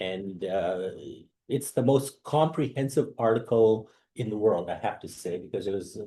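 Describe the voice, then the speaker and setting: A somewhat breathy man of medium pitch speaks at a moderate pace with a dark, mellow tone and lively intonation. The background is quiet. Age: 60s. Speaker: professor. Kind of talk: lecture. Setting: video call. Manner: casual, with many fillers.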